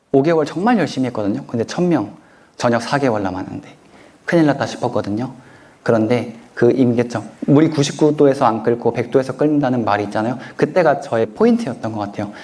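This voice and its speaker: This man talks at a fairly quick pace with a medium pitch. His tone is dark and mellow, with ordinary pitch variation. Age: 30s. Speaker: author and self-help lecturer. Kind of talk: lecture Q&A answer.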